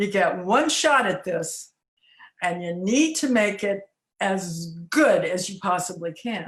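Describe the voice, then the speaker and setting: A somewhat breathy woman with an American accent speaks very slowly at a medium pitch, her intonation lively. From Los Angeles. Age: 70s. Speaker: music festival founder. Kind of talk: interview. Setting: video call.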